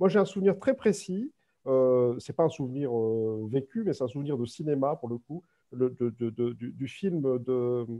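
The man speaks at a fairly slow pace with lively intonation. The background is quiet. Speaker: author and researcher; webinar panelist. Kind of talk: academic talk. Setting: video call. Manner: halting. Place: home room. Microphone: webcam.

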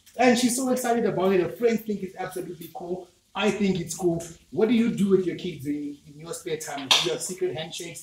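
Noticeable background noise sits under this recording. A man speaks at a high pitch with lively intonation. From Zimbabwe. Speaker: cooking channel host. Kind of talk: casual cooking tutorial. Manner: animated.

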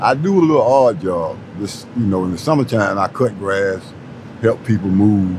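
A man with a fairly low pitch speaks at a moderate pace with ordinary pitch variation, in a dry sound with no echo and noticeable background noise. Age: 60s. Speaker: homeless man; interviewee. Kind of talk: interview. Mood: weary, resigned. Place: street.

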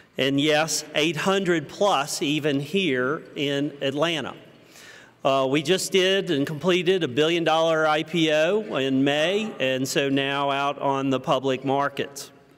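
Audible echo from the room surrounds fairly slow speech. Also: man, fairly high pitch for a man, very even loudness. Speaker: pharmaceutical company executive. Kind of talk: keynote speech. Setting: conference stage with audience.

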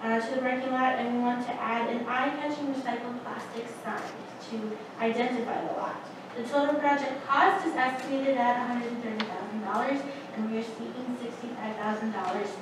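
A woman with a high pitch talks at a moderate pace and with fairly even intonation, over noticeable background noise and strong room echo. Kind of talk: presentation to board. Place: meeting room. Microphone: camera far.

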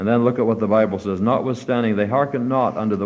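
His voice sits fairly low for a man, and his pitch rises and falls in an ordinary way. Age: 50s. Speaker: preacher. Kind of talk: sermon. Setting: church. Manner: fervent, exhortative. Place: church.

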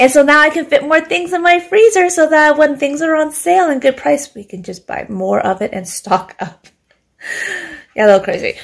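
A woman speaks at a moderate pace over a quiet background. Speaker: home vlogger. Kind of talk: casual vlog chat. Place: kitchen. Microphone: phone near.

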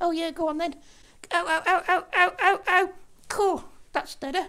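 A cartoonish character voice at an extremely high pitch talks at a moderate pace. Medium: puppet.

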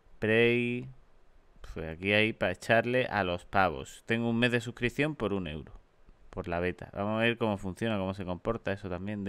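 A man's fairly low voice, a plain, everyday voice, with ordinary pitch variation and a moderate pace. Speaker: gaming youtuber. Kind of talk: casual gaming commentary.

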